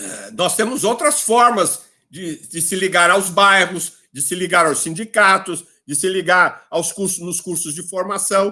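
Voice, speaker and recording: Slow-paced and high-pitched, a man uses a raised, projected voice with ordinary pitch variation and big swings in loudness. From São Paulo, Brazil. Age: 70s. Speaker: politician. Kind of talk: lecture. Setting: video call. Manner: animated.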